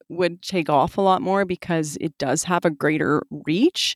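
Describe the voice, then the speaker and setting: A woman with a Canadian accent at a moderate pace, in a dry, close sound with no echo. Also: very clean recording, silent background. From Calgary, Alberta, Canada. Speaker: magazine editor and podcast producer. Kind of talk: interview.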